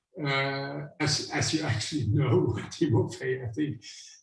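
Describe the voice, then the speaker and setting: A man with a German-speaking European accent talks very slowly in a somewhat breathy, medium-pitched voice with ordinary pitch variation. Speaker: visiting lecturer, climate scientist professor. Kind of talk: Q&A after a scientific lecture. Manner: hesitant, many fillers.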